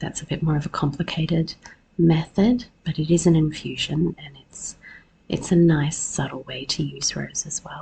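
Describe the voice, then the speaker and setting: A woman with a very deep, low pitch and a dark, mellow, somewhat breathy tone talks at a moderate pace with fairly even intonation and big swings in loudness. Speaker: podcast host, herbalist. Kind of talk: solo podcast talk.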